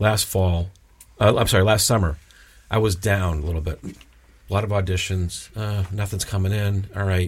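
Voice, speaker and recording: A somewhat breathy man with a fairly low pitch, fairly even intonation and an American accent. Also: moderate pace. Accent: slight Boston accent, mostly suppressed. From Massachusetts, Boston South Shore. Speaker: aspiring actor. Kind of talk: interview.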